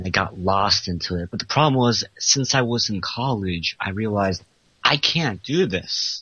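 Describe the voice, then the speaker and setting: A man with an unremarkable speaking voice and lively intonation. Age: 20s. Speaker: self-styled pickup artist. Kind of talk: call-in interview. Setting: Skype call.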